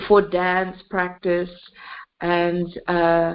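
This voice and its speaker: Speaking at a very slow pace, this woman has an Australian accent. Her pitch sits in the medium range. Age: 50s. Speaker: singer and composer. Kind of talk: interview. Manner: halting, many fillers.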